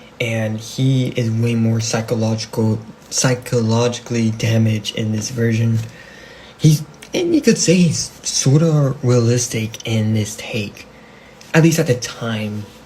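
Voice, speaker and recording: Over noticeable background noise, a man with a non-native accent talks at a fairly slow pace in a medium pitch with fairly even intonation. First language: not English. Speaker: amateur comic book YouTuber. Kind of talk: casual vlog talk. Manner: halting, many restarts and fillers.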